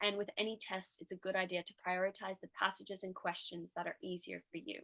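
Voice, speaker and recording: In a dry, close recording with no echo, an ordinary speaking voice moves at a fairly quick pace. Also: woman. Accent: American. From United States. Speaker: tutor and medical student. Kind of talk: tutorial.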